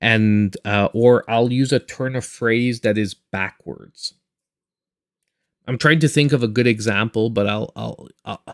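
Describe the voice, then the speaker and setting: A man with a Quebec accent speaks fairly slowly at a medium pitch with fairly even intonation. The sound is dry and close, without echo. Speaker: gaming YouTuber and streamer. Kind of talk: live stream chat. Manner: halting, repeats words.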